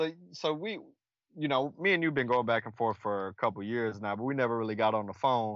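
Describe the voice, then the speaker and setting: A man with an American accent speaks at medium pitch. His pace is fairly quick and his intonation lively. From Texas (Killeen). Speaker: guest. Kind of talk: casual chat.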